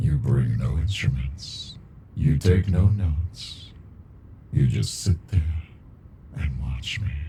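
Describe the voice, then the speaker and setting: In a put-on character voice, a man speaks with a very deep, low pitch at a fairly slow pace, leaving long, frequent pauses over clear background noise. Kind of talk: ASMR roleplay. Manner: dominant, flirty.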